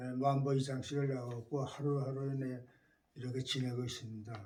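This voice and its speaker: A man's somewhat breathy, monotone, flat delivery at a moderate pace, with audible room echo. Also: medium pitch for a man. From South Korea, Chungju (North Chungcheong). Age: 80s+. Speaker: war-bereaved family member. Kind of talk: life-story interview. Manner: halting, many fillers and restarts.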